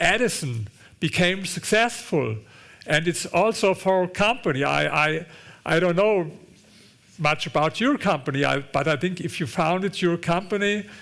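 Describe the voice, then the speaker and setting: In a very clean recording with a silent background, a man with a German accent speaks at a moderate pace in a high pitch, with lively intonation and very even loudness. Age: 60s. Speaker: author and investor. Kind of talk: onstage conversation. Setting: auditorium with audience. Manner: halting, repeats words.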